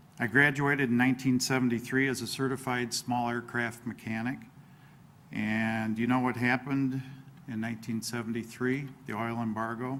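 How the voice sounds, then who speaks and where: At a moderate pace, a man speaks in a medium-pitched voice with flat, monotone intonation. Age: 60s. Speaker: local politician, village president candidate. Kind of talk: candidate forum opening statement.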